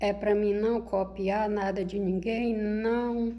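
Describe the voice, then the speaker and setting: In a room with audible echo, a woman at medium pitch talks very slowly in a monotone, flat intonation. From rural Brazil. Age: 60s. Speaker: spiritual video creator. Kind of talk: monologue to camera. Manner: informal, conversational.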